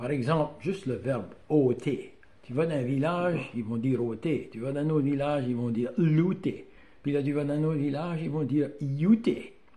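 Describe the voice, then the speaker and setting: Somewhat breathy, with a dark, mellow tone, a man with an Acadian accent speaks in a fairly high pitch with ordinary pitch variation. His pace is moderate, and audible room echo is present. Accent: Acadian French (chiac). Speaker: YouTuber on Acadian dialect. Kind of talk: casual talk to camera. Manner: hesitant, many fillers.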